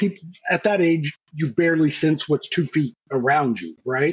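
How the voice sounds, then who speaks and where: At a moderate pace, a man speaks in a somewhat breathy voice with lively intonation. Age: older than the hosts. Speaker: game master. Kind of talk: casual chat.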